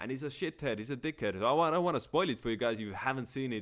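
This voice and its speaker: A man's animated, medium-pitched voice at a very fast pace. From Estonia. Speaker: astrology livestreamer. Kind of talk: livestream monologue. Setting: livestream with webcam. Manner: casual, animated.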